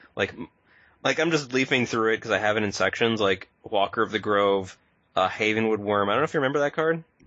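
With an American accent, the speaker talks at a very fast pace with very even loudness and ordinary pitch variation. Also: man, medium pitch for a man. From United States. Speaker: podcast co-host. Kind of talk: casual chat. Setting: remote audio call. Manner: animated.

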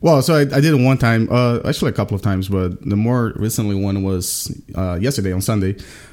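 Here a man speaks with a Portuguese accent in a dark, mellow tone. His pitch is fairly low, with ordinary variation. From Brazil. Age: 30s. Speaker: card game streamer. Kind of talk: casual chat.

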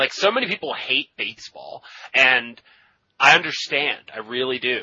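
Here is a man with an ordinary speaking voice at a medium pitch. He speaks at a fairly slow pace with ordinary pitch variation. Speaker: podcaster and Magic: The Gathering personality. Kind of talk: casual interview chat.

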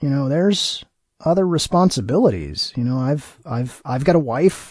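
A man speaks at a fairly slow pace and fairly high pitch. His voice is somewhat breathy, with lively intonation. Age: 40s. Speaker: podcast host. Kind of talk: casual chat.

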